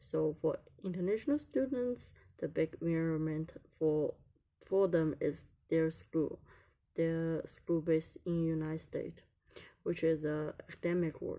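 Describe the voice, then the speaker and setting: Speaking at a fairly slow pace, a woman uses a fairly low pitch, ordinary pitch variation and a dark, mellow tone. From China. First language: Chinese. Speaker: international student. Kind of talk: class presentation. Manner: hesitant, many fillers.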